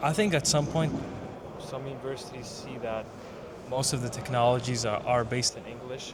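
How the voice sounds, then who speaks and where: Fairly quick speech from a man at medium pitch with an American accent, ordinary pitch variation, audible room echo and noticeable background noise. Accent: American-sounding English. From Yemen / Saudi Arabia. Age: 20s. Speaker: computer science student. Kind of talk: casual chat. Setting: developer conference hall.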